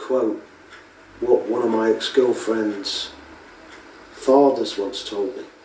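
A man at a very slow pace, with long, frequent pauses, audible room echo and noticeable background noise. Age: 50s. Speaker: video blogger. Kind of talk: reflective monologue.

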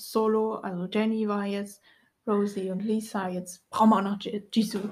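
A woman talks in a somewhat breathy voice with monotone, flat intonation. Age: 20s. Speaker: podcast co-host. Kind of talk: casual chat.

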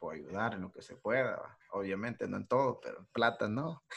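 Speaking in a Salvadoran accent, a man keeps a moderate pace and medium pitch with ordinary pitch variation. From El Salvador. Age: young. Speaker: aspiring musician. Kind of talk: casual chat. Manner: animated.

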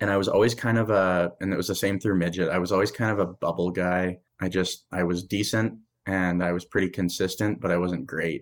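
Someone with a Canadian prairie accent speaks at a fairly quick pace with very even loudness and fairly even intonation, in a very clean recording with a silent background. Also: man, very deep, low pitch for a man. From Saskatchewan, Canada. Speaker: former college hockey player. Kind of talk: casual interview.

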